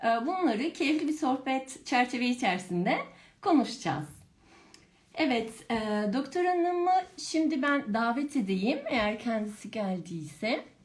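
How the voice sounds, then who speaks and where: Moving fairly slowly, a woman with a high pitch swings her pitch very widely while keeping her loudness very even. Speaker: pharmacist, brand education manager, live stream host. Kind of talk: live stream interview. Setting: online live broadcast.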